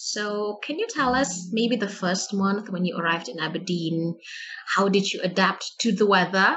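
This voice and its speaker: In an Indonesian accent, a woman talks in a medium pitch. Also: ordinary pitch variation, moderate pace. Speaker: podcast host, student. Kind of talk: casual interview chat.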